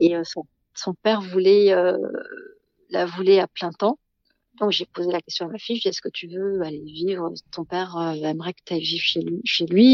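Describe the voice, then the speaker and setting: A woman speaks at a medium pitch. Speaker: guesthouse owner. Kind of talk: interview.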